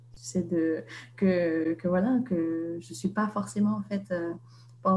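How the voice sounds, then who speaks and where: Talking at a very slow pace, a woman with a fairly low, somewhat breathy voice swings her pitch very widely. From Vietnam, Hanoi, French-educated. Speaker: author. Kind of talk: interview. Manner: halting, many hesitations.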